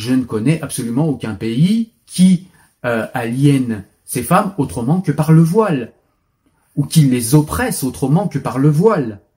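Somewhat breathy and dark, mellow in tone, a man with fairly high pitch speaks at a fairly slow pace with very wide pitch swings. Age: 40s. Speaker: video blogger. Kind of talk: opinion commentary monologue.

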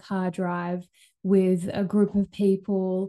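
Female speech in a dark, mellow tone. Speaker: holistic healer and podcast host. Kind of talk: pep talk, warm solo monologue. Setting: recording at home with dog nearby. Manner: encouraging, upbeat, chatty.

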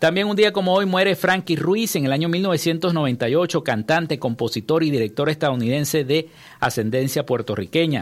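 A man with a plain, everyday voice, fairly high pitch, lively intonation and a moderate pace. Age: 50s. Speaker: radio news host. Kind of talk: news reading; radio interview. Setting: radio studio.

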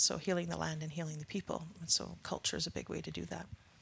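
A woman with a western Canadian accent speaks at a very fast pace. The recording is very clean, with a silent background. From northeast British Columbia, Canada. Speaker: First Nation band manager. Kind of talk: interview conversation.

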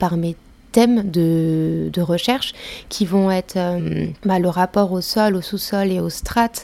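A woman's fairly low voice, fairly even in intonation, at a very slow pace. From France, Ain near Lyon. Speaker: visual artist. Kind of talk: interview. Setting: artist's studio. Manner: hesitant, many fillers.

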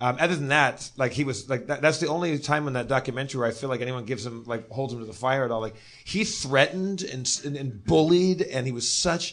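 A man's medium-pitched voice at a very fast pace, hardly any pauses, ordinary pitch variation. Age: 40s. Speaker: podcast co-host. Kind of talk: live comedy podcast chat. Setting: stage with live audience.

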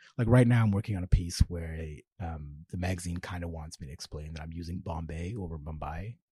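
Somewhat breathy, this man speaks at a fairly quick pace. His tone is dark and mellow. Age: 30s. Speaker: novelist. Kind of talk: casual chat.

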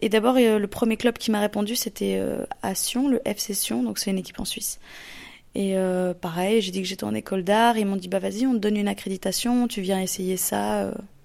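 A woman speaks at a fairly quick pace with a medium pitch and fairly even intonation, recorded very cleanly against a silent background. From Switzerland, Lausanne. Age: 20s. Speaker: photographer. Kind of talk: interview. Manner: casual, hesitant with fillers.

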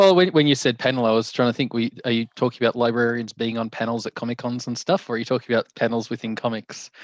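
Rushing at a very fast pace with hardly any pauses, a man is heard in a dry, close sound with no echo over a quiet background. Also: medium pitch for a man, ordinary pitch variation. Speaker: librarian. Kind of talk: interview.

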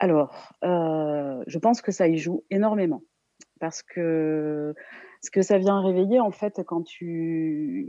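Speaking very slowly with a southern French accent, a woman uses a fairly low pitch and ordinary pitch variation. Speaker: art therapist. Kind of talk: expert commentary. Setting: phone call.

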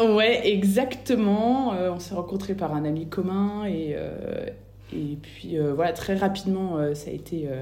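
At a very slow pace, a woman speaks with ordinary pitch variation. Her voice carries audible room echo over noticeable background noise. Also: medium pitch for a woman. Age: 30s. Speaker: bereaved mother. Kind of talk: testimony. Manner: halting.

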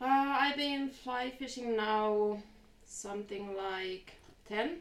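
A woman's high voice with a Finnish accent at a very slow pace, with audible room echo. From Finland. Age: 30s. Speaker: fly fisher. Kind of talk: casual interview.

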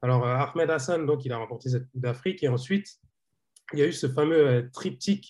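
A man speaks at a medium pitch with ordinary pitch variation. His voice is somewhat breathy against a quiet background. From Senegalese heritage. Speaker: football journalist. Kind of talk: casual chat. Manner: halting.

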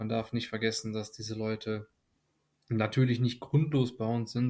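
A man speaks at a medium pitch. The recording is very clean with a silent background. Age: 20s. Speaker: nursing trainee. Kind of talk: casual chat.

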